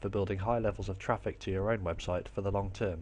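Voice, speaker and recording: A man with an English accent and vocal fry talks at a very fast pace. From England. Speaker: online marketing teacher. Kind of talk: tutorial. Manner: clear, scripted delivery.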